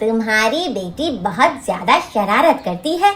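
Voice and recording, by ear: A man's cartoonish character voice, extremely high and fairly bright, with big pitch swings at a fairly slow pace.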